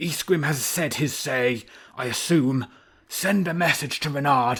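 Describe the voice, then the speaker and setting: A man puts on a character voice, speaking at a moderate pace with ordinary pitch variation. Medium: read story. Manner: measured, judicious.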